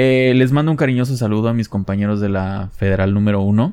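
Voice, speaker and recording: A man with a Mexican accent speaks at a moderate pace in a fairly low pitch and a dark, mellow tone, with fairly even intonation, on a very clean recording with a silent background. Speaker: podcast host. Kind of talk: casual monologue. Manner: halting.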